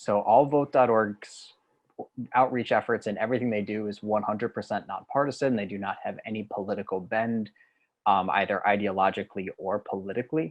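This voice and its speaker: Speaking at a fairly quick pace with fairly even intonation, a man with an American accent is heard over a quiet background. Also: fairly low pitch for a man. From US Northeast. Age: 20s. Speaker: digital organizer and trainer; trainer. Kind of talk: online training presentation. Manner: fast. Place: home room. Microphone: webcam.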